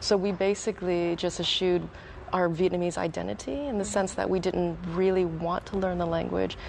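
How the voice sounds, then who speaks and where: At a fairly quick pace, a woman with an American accent talks in a fairly low pitch with ordinary pitch variation and an unremarkable speaking voice. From San Diego, California, US. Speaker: talk show guest. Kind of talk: panel discussion.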